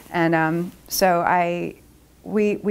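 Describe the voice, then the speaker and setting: A woman with a Philadelphia accent and monotone, flat intonation. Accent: Philadelphia-area American English. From Upper Darby, Pennsylvania, USA. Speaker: roller derby skater and attorney. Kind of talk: interview answer. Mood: warm, proud, nostalgic. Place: meeting room.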